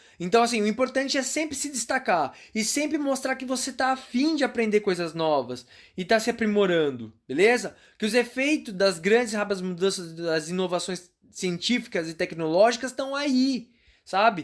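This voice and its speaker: A man speaks at a moderate pace in a high-pitched voice, his tone animated and his intonation lively. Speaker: career consultant teaching online class. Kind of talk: online lecture.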